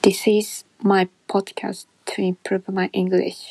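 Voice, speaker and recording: Speaking very slowly, a woman comes through with a Japanese accent. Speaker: English learner podcaster. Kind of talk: solo monologue. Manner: halting.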